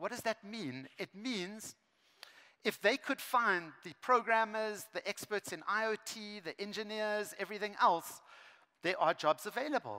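Raising and projecting his voice, a man speaks at a fairly slow pace with ordinary pitch variation and a bright, sharp tone against a quiet background. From South Africa. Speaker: education speaker; speaker. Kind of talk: conference keynote. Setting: stage with large audience. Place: stage. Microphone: headset.

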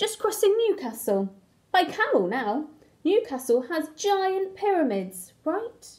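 In a put-on character voice, a woman speaks slowly at extremely high pitch with big pitch swings and a slightly mellow tone.

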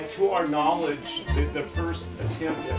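Over loud music in the background, a man talks at a fairly slow pace. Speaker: host of the nonprofit inn. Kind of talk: informal welcome talk with local history. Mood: light, joking. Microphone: camera far.

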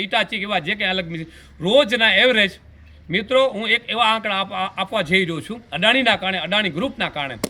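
Speaking in a high pitch, a man shows ordinary pitch variation. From Kutch, Gujarat. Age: 50s. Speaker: local businessman and village figure. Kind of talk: news interview statement.

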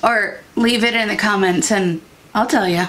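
The pace from this woman is fairly slow. Intonation holds fairly even throughout. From Iowa, near the Mississippi River; Iowa. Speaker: beauty YouTuber. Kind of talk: casual vlog talk to camera. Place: home room.

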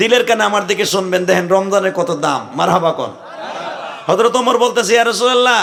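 Against noticeable background noise, a man speaks in a high, animated voice. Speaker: Islamic preacher. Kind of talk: sermon.

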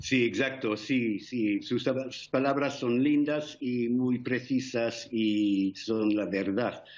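Speaking very slowly, a man with an English accent keeps a very even loudness and fairly even intonation. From England. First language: English (speaking Spanish). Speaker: war veteran. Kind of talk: interview; interview answer. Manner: halting. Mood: earnest, solemn, emotional. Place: home room. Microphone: video call.

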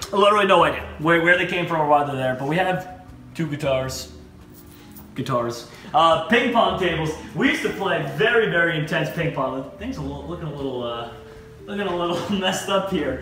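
A man is heard with light background noise and audible room echo. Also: fairly quick pace. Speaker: vlogger giving home tour. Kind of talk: casual vlog chat. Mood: playful, nostalgic. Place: home room. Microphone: camera far.

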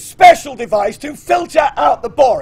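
Shouting at a moderate pace, the speaker uses lively intonation. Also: man. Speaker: storyteller. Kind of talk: live comedy history stage show. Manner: energetic. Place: stage.

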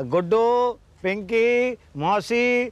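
A man's extremely high-pitched voice comes through with a dry sound and no echo. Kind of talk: sitcom dialogue. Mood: exasperated comic complaining.

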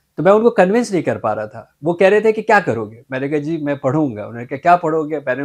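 Against a quiet background, a man talks at a fairly quick pace in a fairly high pitch, his voice making very wide pitch swings. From Pakistan, Karachi; Pakistan. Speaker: mental health specialist; interview guest. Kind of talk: interview. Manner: formal. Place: studio. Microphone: lapel.

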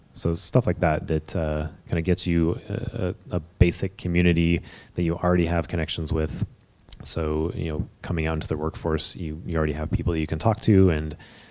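With a Californian accent, a man talks at a fairly quick pace in a very deep, low pitch. His tone is dark and mellow, and his intonation fairly even. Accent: Californian American English. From Bay Area, California. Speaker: software engineer, game industry; panelist. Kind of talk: panel talk. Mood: relaxed, candid. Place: hall. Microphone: handheld.

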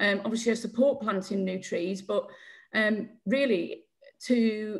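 With a Yorkshire accent, a woman speaks fairly slowly in a somewhat breathy, fairly high voice. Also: ordinary pitch variation. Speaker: community campaign group chair. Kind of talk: public Q&A question. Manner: halting.

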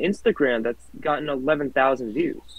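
At a moderate pace, a man speaks against a quiet background, the sound dry with no echo. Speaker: racing league host. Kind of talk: casual chat. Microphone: video call.

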